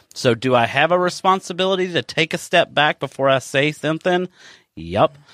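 This is a very clean recording of a man with a silent background and a dry, close sound that has no echo. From Kentucky. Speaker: podcast co-host. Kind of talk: casual livestream chat. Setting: Facebook live video stream.

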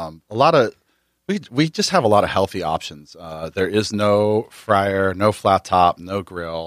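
A man's normal speaking voice, fairly low in pitch, with an American accent, a fairly slow pace and ordinary pitch variation. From New Jersey. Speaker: chef and restaurant owner. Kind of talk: casual interview.

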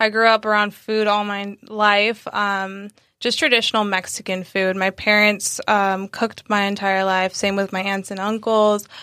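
A woman speaks at a moderate pace with an American accent, her tone bright and sharp and her intonation monotone and flat. The recording is very clean, with a silent background. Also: medium pitch for a woman. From San Diego, California. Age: 20s. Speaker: vegan recipe creator. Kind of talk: casual interview.

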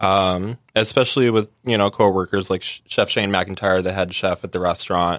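On a very clean recording with a silent background and a dry, close sound with no echo, a man with an ordinary speaking voice and fairly low pitch talks at a moderate pace with fairly even intonation and hardly any pauses. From California. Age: 30s. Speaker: pastry chef. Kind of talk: casual chat.

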